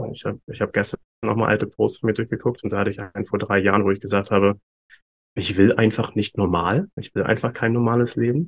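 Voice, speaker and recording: The voice moves at a very fast pace with fairly even intonation. Its sound is dry and close, with no echo. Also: man, fairly low pitch for a man. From Germany, Hamburg. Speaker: human design coach. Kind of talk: interview. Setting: video call.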